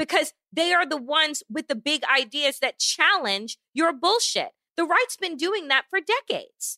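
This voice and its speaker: Projecting a raised voice, a woman speaks at an extremely high pitch with lively intonation and a fairly slow pace, leaving hardly any pauses, in a dry, close sound with no echo. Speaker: podcast co-host. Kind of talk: angry rant. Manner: heated and forceful.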